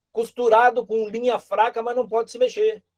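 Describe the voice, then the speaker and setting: A man at an extremely high pitch, monotone, flat intonation, moderate pace, dry, close sound with no echo. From Brazil. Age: 60s. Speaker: political candidate. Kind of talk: political speech in virtual meeting. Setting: video call. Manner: halting, repeats words.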